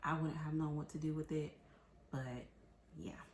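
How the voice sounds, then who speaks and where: A woman's somewhat breathy, very deep, low voice with an American accent, at a very fast pace. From Tampa, Florida. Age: 30s. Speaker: cooking show applicant. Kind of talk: audition video, casual talk to camera.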